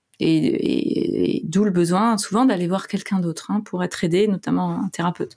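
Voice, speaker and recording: A woman's somewhat breathy, dark, mellow tone at a moderate pace. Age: 40s. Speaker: clinical psychologist and author. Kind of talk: casual interview.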